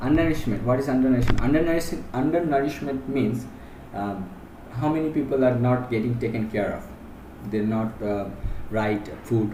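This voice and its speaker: A man speaks at a moderate pace with a Bangladeshi accent and ordinary pitch variation. There is audible echo in the room. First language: Bengali. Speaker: teacher. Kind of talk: lecture. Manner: halting.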